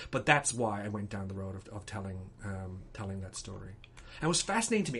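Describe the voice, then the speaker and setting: A man with lively intonation and an ordinary speaking voice. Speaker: playwright. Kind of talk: interview answer.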